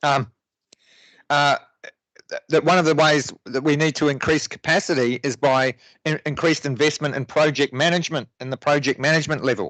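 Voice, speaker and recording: A man with a New Zealand accent, fairly high-pitched, at a fairly quick pace with fairly even intonation. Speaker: local councillor. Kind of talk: council debate speech. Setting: council chamber meeting. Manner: halting, many fillers and restarts.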